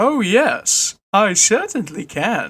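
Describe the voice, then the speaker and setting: A put-on character voice at a fairly high pitch. The recording is very clean, with a silent background. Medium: read story. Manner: confiding, persuasive.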